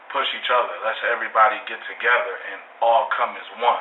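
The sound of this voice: Fast speech in an American accent, with fairly even intonation and audible room echo. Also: man, fairly low pitch for a man.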